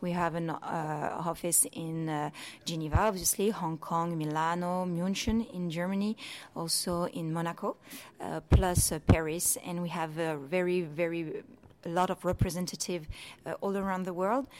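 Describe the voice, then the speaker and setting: A woman with a fairly low pitch, an ordinary speaking voice, a moderate pace and ordinary pitch variation. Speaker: watch specialist at auction house. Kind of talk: interview. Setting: in person, hotel in Monaco.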